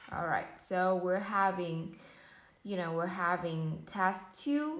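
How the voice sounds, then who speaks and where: A woman with a Vietnamese accent speaks very slowly at a medium pitch, her pitch varying in an ordinary way, with audible room echo around her. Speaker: English learner practicing IELTS speaking. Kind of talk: exam speaking practice. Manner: hesitant with fillers.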